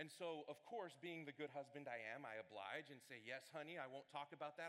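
A man's fairly high, animated voice at a very fast pace, with ordinary pitch variation. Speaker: student ministry director preaching. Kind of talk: sermon. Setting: church with congregation. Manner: loud.

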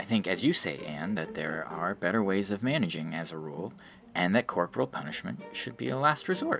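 A man puts on a character voice, low-pitched with vocal fry and a fairly bright tone. He talks at a fairly quick pace with lively intonation as faint music plays in the background.

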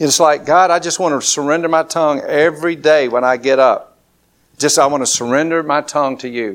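A man speaks with an Alabama accent and fairly even intonation. The recording is very clean, with a silent background. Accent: Southern US, Alabama. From southern Alabama. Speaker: pastor. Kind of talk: sermon. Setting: church. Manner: informal, conversational, with hesitations.

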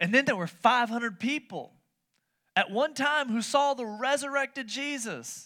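A man speaks in a raised, projected voice with a bright, sharp tone, an extremely high pitch and ordinary pitch variation. His moderate-paced delivery comes on a very clean recording with a silent background. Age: 30s. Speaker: pastor. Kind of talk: sermon. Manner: animated.

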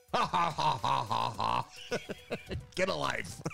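A man cackles in a put-on character voice at a very slow pace. Clear background noise runs underneath. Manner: cackling, grumpy.

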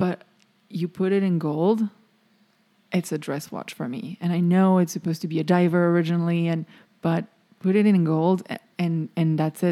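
Speaking in a French accent, this woman has a fairly low pitch and a dark, mellow tone, heard on a very clean recording with a silent background and a dry, close sound with no echo. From France. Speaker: podcast co-host. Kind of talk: casual chat.

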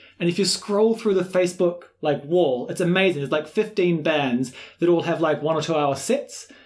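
A man's high voice with a New Zealand accent. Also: ordinary pitch variation, moderate pace, very even loudness. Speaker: swing dance teacher and podcast co-host. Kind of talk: casual chat.

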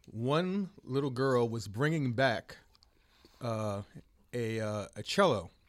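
A man with an American accent at a medium pitch, very slow in pace with lively intonation, on a very clean recording with a silent background. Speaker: musician and producer. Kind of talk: casual conversation. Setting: recording studio.

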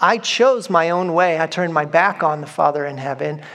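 With an unremarkable speaking voice, a man talks at a fairly high pitch and fairly even intonation against a quiet background. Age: 40s. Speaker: pastor. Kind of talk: sermon. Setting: church.

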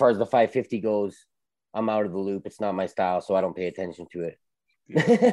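A man talks in a normal speaking voice at a moderate pace, with fairly low pitch and fairly even intonation. The recording is very clean with a silent background and a dry, close sound with no echo. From Calgary, Alberta, Canada. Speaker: sneaker collector. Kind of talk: casual chat.

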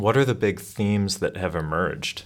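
This very clean recording has a silent background. A man speaks with a very deep, low pitch and lively intonation. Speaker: podcast host. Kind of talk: scripted intro and interview.

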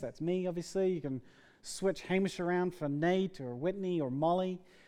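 A man speaks at a moderate pace in a dark, mellow tone. His pitch varies in an ordinary way against a quiet background. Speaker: pastor. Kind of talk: sermon. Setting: church. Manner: casual and chatty.

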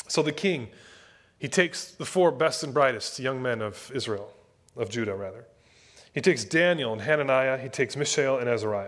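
A man with a plain, everyday voice speaks at medium pitch and a fairly quick pace with lively intonation, in a very clean recording with a silent background. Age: 30s. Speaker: pastor. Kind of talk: sermon. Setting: church.

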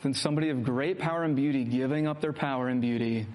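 Someone is reading aloud in a natural voice. The words come out plainly.

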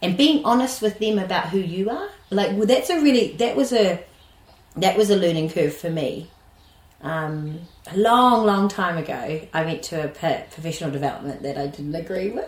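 A woman with a New Zealand accent speaks at a moderate pace. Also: medium pitch for a woman, lively intonation. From New Zealand, West Auckland. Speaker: early childhood educator. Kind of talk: interview conversation. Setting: at her rural home, sheep and birds audible.

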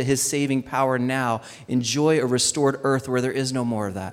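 Fairly even in intonation and medium in pitch, a man with an ordinary speaking voice talks at a moderate pace. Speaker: pastor. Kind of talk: sermon.

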